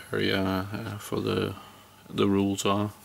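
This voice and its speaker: This man's voice sits at a fairly low pitch. Light background noise can be heard. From Denmark. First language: Danish. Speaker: electrician. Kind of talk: tutorial. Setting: indoors. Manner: halting. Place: open country. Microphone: phone near.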